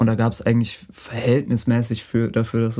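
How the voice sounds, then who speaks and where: Dark, mellow tone from a man with a medium-pitched voice, fairly even intonation and a moderate pace. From Franconia, Bavaria. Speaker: songwriter and music producer. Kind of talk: interview.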